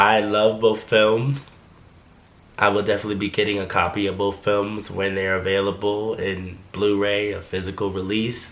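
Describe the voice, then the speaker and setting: A man speaks at a moderate pace in a fairly low pitch with monotone, flat intonation, and room echo is audible. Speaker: YouTuber, translator. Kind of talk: casual vlog commentary.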